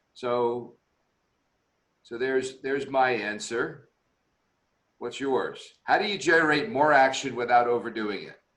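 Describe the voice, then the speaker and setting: Fairly slow, medium-pitched speech from a man, with long, frequent pauses, ordinary pitch variation, big swings in loudness and audible room echo. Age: 60s. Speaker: executive coach and webinar host. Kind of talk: online leadership webinar discussion.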